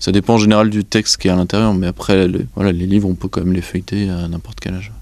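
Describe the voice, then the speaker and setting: With a Breton accent, the speaker talks at a very fast pace with fairly even intonation. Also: man, very deep, low pitch for a man. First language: Breton (speaking French). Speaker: association president, librarian. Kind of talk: interview. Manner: hesitant, many fillers.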